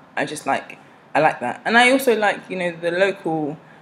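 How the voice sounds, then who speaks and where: A woman with an English accent and fairly low pitch, lively intonation, moderate pace, and noticeable background noise. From South East London, England. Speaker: vlogger. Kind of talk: vlog monologue. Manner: casual, switches between accents.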